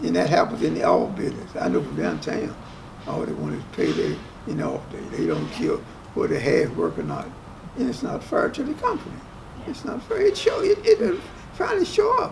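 Talking fairly quickly, a man in an American accent is heard over noticeable background noise. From West Virginia, US. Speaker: resort worker; interviewee. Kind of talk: casual interview. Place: hall.

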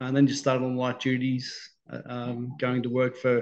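A man with an Australian accent speaks in a monotone, his intonation flat throughout. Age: 50s. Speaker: stroke survivor. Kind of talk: interview. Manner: halting, many fillers and repetitions. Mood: calm, reflective. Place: home room. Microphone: video call.

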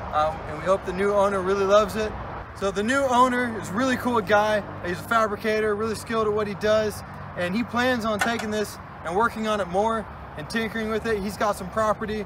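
A man with a high pitch speaks fairly quickly and with fairly even intonation. The sound is dry with no echo, though noticeable background noise comes through. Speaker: vehicle vlogger. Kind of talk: casual vlog chat. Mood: wistful farewell. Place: open country. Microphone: camera far.

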